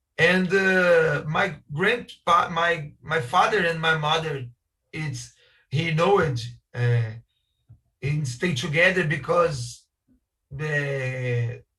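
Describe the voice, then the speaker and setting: A man in a Brazilian accent speaks very slowly at a fairly high pitch, with a bright, sharp tone, ordinary pitch variation and audible room echo. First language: Portuguese. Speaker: architect. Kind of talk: conference talk. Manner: halting.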